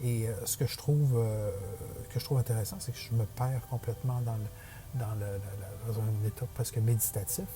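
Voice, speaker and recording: With noticeable background noise, a man of medium pitch speaks at a moderate pace with ordinary pitch variation. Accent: Quebec. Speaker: digital portrait artist. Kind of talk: drawing tutorial voice-over. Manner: hesitant, many fillers.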